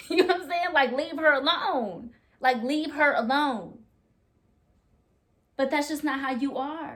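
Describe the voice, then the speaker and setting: Loud and high-pitched, a woman speaks at a fairly slow pace with ordinary pitch variation and long, frequent pauses. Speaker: vlogger talking with spouse. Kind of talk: casual chat. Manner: animated.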